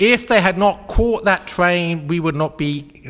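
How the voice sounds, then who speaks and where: A man speaks with an English accent. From England. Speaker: author and speaker. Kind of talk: lecture. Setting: stage with audience. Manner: humorous, conversational.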